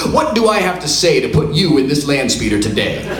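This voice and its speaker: Against noticeable background noise, a man with a fairly high pitch talks at a very fast pace. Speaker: performer reading his own memoir story on stage. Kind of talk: dramatic reading, live comedic storytelling. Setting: live stage show in front of an audience.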